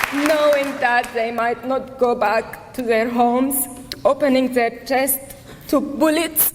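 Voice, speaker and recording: A woman with a high pitch speaks very slowly in fairly even intonation. Crowd noise sounds in the background, and the room echo is audible. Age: 30s. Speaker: activist. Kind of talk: rally speech. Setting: stage with audience.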